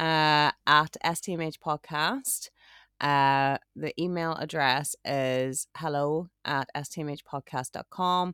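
In an Irish accent, a woman with a very deep, low pitch and a bright, sharp tone speaks at a very slow pace with fairly even intonation, on a very clean recording with a silent background. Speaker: podcast co-host. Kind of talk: casual chat. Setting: glamping pod with rain outside.

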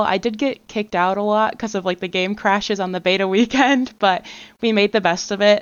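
A woman speaks in a normal speaking voice at a moderate pace, with ordinary pitch variation. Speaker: guest, PR professional and gamer. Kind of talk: casual podcast chat.

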